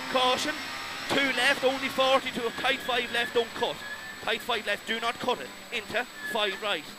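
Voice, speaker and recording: Over noticeable background noise, a man with an Irish accent speaks at an extremely high pitch with long, frequent pauses, the sound dry and free of echo. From Ireland. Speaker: rally co-driver. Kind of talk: rapid-fire rally pacenotes read aloud over engine noise. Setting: inside a rally car during a stage. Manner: clipped, urgent, relentless stream of numbers and calls; repeats warnings insistently, exhorting driver. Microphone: headset.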